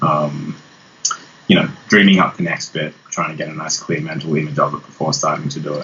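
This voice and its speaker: This speaker talks at a fairly quick pace with an Australian accent and fairly even intonation. Noticeable background noise can be heard. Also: man, very deep, low pitch for a man. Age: 40s. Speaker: guitarist. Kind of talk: interview.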